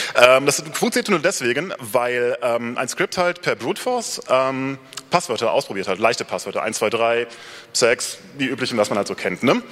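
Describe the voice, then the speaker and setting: A man at a medium pitch speaks at a moderate pace with lively intonation over noticeable background noise. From Rhineland, near Cologne. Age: 30s. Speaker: software developer giving a talk. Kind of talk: conference talk. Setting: stage with audience. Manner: hesitant, many filler sounds.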